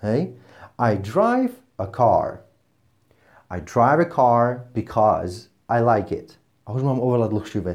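A man talks at a medium pitch and a fairly slow pace, with ordinary pitch variation. Long, frequent pauses break his speech against a quiet background. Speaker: English teacher and podcast host. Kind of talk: tutorial-style podcast monologue. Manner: unscripted, off-the-cuff.

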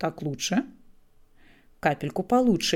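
The woman's tone is dark and mellow, at a medium pitch. Her intonation is lively. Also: very clean recording, silent background. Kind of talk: audiobook reading of a novel. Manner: measured, even narration, first-person storyteller.

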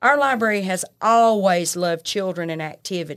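A woman with a Southern US accent speaks at a moderate pace and medium pitch, with ordinary pitch variation. The recording is very clean, with a silent background. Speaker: librarian. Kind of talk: casual chat. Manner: loud.

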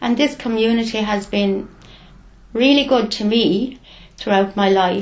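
A woman speaks with an Irish accent at a fairly high pitch. Her intonation stays fairly even. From Ireland, County Carlow. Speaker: retired nurse and community volunteer. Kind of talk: interview.

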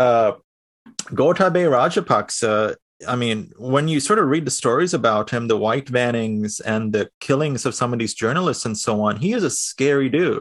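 Over a quiet background, a man with an American accent speaks at a medium pitch and a moderate pace, with lively intonation. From Sri Lankan-born, raised in the US. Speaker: podcast host. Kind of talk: interview.

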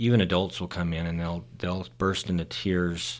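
A man with an American accent talks in a very deep, low voice. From Utah, Salt Lake City. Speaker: podiatrist. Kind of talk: casual chat. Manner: hesitant, many fillers.

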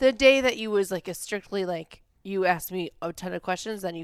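A woman talks at a fairly quick pace with an American accent. Her pitch is medium, with ordinary variation. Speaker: podcast host. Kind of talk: casual chat. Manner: loud at times.

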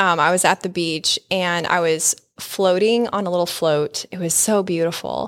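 In an ordinary speaking voice, a woman talks at a medium pitch and a fairly slow pace. The recording is very clean, with a silent background. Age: 40s. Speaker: podcast host. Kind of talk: casual chat.

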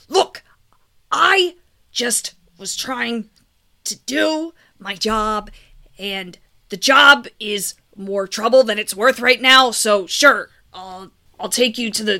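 A raspy, put-on character voice from a woman, fairly high-pitched, very slow, with long, frequent pauses. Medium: actual play. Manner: grumbling, reluctant.

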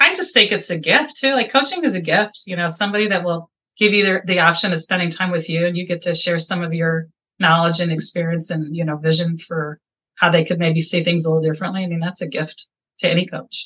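A woman's bright, sharp voice, fairly low in pitch, with an American accent, a very fast pace and ordinary pitch variation. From Iowa, US Midwest. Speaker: life coach. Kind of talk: interview. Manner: animated.

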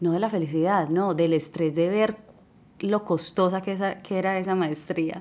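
A woman's medium-pitched voice in a Colombian accent, at a fairly slow pace with fairly even intonation. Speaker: podcast host. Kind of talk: casual monologue.

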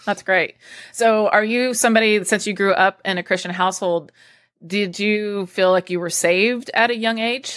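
With a normal speaking voice, a woman talks at a moderate pace, with a medium pitch and fairly even intonation. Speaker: podcast host. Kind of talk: casual interview.

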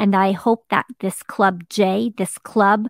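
In a very clean recording with a silent background, a woman's medium-pitched voice moves with ordinary pitch variation, sounding dry and close with no echo. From Quebec, Canada. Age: 40s. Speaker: podcast host and blogger. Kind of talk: casual monologue. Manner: hesitant with many fillers.

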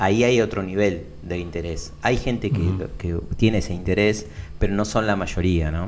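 This man has a very deep, low pitch. Audible room echo surrounds his voice. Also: ordinary pitch variation, moderate pace. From Argentina, Buenos Aires (Lomas de Zamora). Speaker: tech entrepreneur. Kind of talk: interview.

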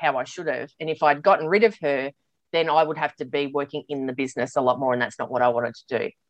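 A woman with an Australian accent, dry and close with no echo. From Australia, Sydney. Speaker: business coach. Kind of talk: casual chat.

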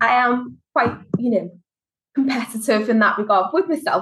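A woman with a Liverpool accent. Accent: Liverpool (Scouse). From Liverpool, England. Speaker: HR consultant and business founder. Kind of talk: casual interview.

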